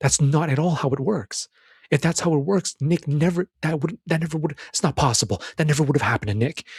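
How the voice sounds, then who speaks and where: A man talks at a fairly quick pace in an animated, somewhat breathy voice, with a dry, close sound and no echo. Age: 30s. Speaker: self-improvement podcaster. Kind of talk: solo commentary on a film. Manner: animated, many repetitions and restarts.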